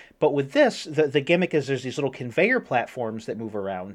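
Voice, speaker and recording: This man has an ordinary speaking voice and a fairly high pitch. He talks at a moderate pace against a quiet background. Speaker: podcast co-host. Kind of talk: casual chat.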